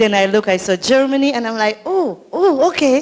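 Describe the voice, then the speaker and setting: A woman speaks at a moderate pace with a strong Saint Lucian accent. Her pitch swings very widely. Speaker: community organizer and emcee. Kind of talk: emcee remarks at public forum. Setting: library forum with audience. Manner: animated.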